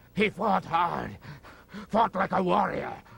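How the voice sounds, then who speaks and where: The man puts on a character voice, pitched high for a man. He delivers it at a fairly slow pace. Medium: video game. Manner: terse, clipped.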